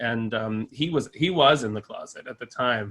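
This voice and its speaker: This is a man speaking. His pitch is medium. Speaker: tech executive. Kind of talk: fireside chat interview. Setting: online event. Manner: halting, many fillers.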